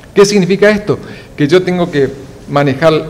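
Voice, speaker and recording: A man with lively intonation amid noticeable background noise. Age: 60s. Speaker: fish scientist and institute director. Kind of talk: TV news interview. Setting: TV studio. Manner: hesitant, many fillers.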